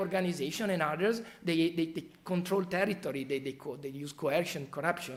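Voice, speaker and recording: A man with an Italian accent talks at a fairly quick pace and high pitch, with ordinary pitch variation. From Italy. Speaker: criminology professor. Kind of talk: expert talk.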